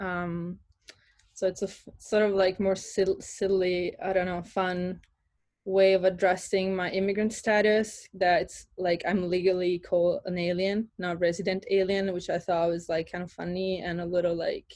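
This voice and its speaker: A woman with an Italian accent, medium in pitch, at a fairly slow pace. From Italy, near Florence. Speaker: artist. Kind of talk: artist talk presentation. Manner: hesitant, many fillers.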